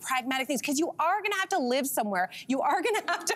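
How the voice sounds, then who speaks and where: Her pitch makes very wide swings. The voice is a woman's. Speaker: talk show co-host. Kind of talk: panel discussion opinion. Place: studio. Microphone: lapel.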